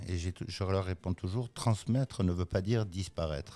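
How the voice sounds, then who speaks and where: A man's fairly low, dark and mellow voice at a fairly quick pace with ordinary pitch variation, in a very clean recording with a silent background. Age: 60s. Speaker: business owner. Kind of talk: podcast interview. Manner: hesitant, many fillers.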